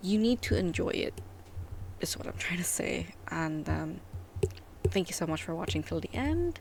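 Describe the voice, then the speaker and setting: Whispering broken by long, frequent pauses. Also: woman, moderate pace. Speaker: hobby crafter, video maker. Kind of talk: casual tutorial outro. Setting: home, early morning.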